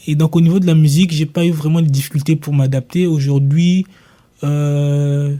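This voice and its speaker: Somewhat breathy, a man with a dark, mellow tone and fairly high pitch speaks at a moderate pace in a monotone, flat intonation. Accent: Congolese. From Congo. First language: Lingala (speaking French). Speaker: singer and rapper. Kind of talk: radio panel discussion.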